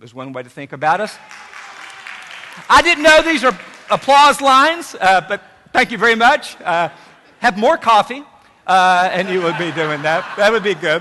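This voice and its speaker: Over crowd noise in the background, a man with an Appalachian accent speaks in a raised, projected voice at a high pitch, with very wide pitch swings, big swings in loudness, and long, frequent pauses. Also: moderate pace. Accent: Appalachian southern. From Tri-Cities area, Virginia/Tennessee border (Appalachia). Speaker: university president. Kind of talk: welcome speech. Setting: stage with audience.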